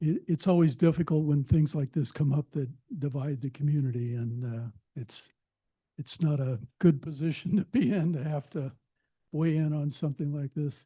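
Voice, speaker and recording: A somewhat breathy man talks at a moderate pace with a fairly high pitch, ordinary pitch variation and a dark, mellow tone, in a dry, close sound with no echo. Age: 70s. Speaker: planning commissioner. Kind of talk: public meeting remarks. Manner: halting, many filler uhs.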